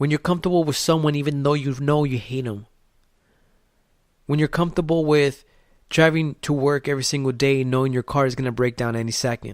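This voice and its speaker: A man in a Spanish accent at a fairly quick pace, captured in a very clean recording with a silent background. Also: fairly high pitch for a man. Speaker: podcast host. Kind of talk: motivational podcast monologue. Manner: animated.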